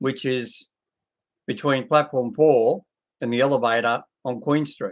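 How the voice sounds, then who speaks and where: This voice moves at a fairly slow pace with an Australian accent. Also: man, medium pitch for a man. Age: 60s. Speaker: video blogger. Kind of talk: casual video commentary. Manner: rambling, slightly halting speech.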